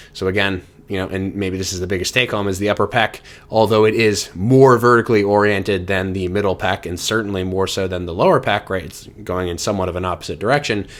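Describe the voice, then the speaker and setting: The speech is very fast. It comes from a man with a fairly low voice. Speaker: fitness coach. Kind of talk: tutorial. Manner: filler-heavy, repeats words.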